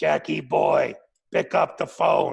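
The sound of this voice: This is a man doing a put-on character voice. It sounds raspy and gravelly.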